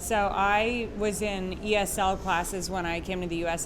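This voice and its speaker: There is audible room echo as a woman speaks at a medium pitch. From Quebec. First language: French. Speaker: course instructor. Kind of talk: instructional conversation.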